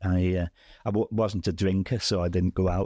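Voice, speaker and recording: Recorded with a dry, close sound and no echo, a man with a Merseyside accent speaks at a very deep, low pitch. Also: quiet background. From Widnes, England. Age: 70s. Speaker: retired oil and gas executive, football fan. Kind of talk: interview answer.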